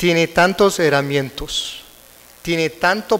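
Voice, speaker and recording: Speaking at a fairly slow pace, a man has an American accent. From United States. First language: English (speaking Spanish). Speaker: prosecutor and conference speaker. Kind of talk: lecture. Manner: halting.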